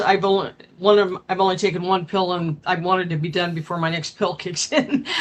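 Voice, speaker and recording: A woman's bright, sharp tone at a moderate pace. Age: 60s. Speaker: caller. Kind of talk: call-in opinion. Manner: halting, repeats words.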